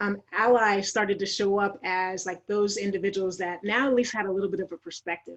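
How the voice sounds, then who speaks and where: A woman's plain, everyday voice at a fairly quick pace, with ordinary pitch variation. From Idaho, US. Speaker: diversity and inclusion consultant. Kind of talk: panel interview.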